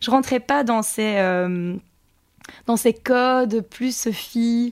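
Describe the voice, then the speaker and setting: Her pitch fairly high and her intonation lively, a woman speaks at a very slow pace. The recording is very clean with a silent background and a dry, close sound with no echo. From Belgium, Charleroi area. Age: 30s. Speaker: association founder and filmmaker. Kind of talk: interview. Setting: studio. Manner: halting.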